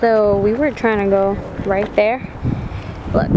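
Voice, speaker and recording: Over loud background noise, the speech comes at a moderate pace with a dry sound and no echo. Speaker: vlogger. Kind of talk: casual vlog chat. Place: factory. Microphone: phone near.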